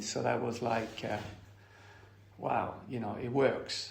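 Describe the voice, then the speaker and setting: A man talks at a very slow pace and medium pitch, with fairly even intonation. Audible room echo surrounds his voice. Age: 60s. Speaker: recovering addict sharing at a meeting. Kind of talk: testimony. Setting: recovery meeting, recorded. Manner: hesitant, filler-heavy.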